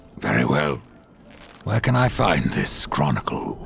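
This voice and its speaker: A man puts on a character voice that is raspy and very deep in pitch. He talks at a fairly slow pace. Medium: video game. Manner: terse, cool.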